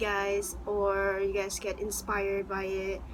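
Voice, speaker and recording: Audible room echo carries a woman's bright, sharp tone. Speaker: YouTuber. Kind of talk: personal testimony. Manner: halting.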